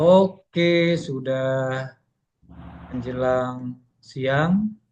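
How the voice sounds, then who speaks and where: A man is talking. His voice sits at a medium pitch with ordinary variation. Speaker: workshop trainer. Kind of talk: workshop presentation.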